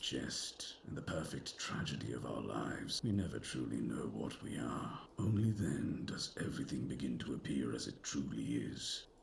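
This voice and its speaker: A man whispers in a put-on character voice at a moderate pace, with hardly any pauses. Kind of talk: video game dialogue. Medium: video game. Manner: solemn, measured.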